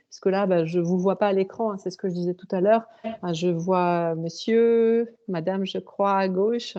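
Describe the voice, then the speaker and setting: A woman speaks at a moderate pace and medium pitch, her dark, mellow tone carrying ordinary pitch variation. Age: 40s. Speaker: author and high school French teacher. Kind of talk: interview. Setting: video call. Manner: hesitant, many fillers.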